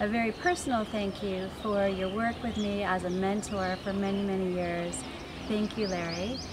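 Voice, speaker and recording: Noticeable background noise behind a woman's moderately paced speech. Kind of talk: congratulatory address to camera. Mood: warm, grateful. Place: garden.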